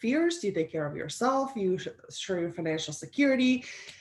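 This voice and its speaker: Very wide pitch swings from a woman with a Slovenian accent. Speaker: life coach and business strategist, former professional athlete. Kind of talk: interview.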